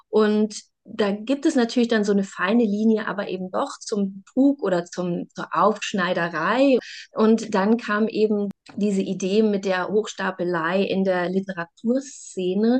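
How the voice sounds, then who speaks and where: At a fairly slow pace, a woman with an ordinary speaking voice talks at medium pitch with ordinary pitch variation. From Saxony, eastern Germany (Bautzen). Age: 30s. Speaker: novelist and journalist. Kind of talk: interview.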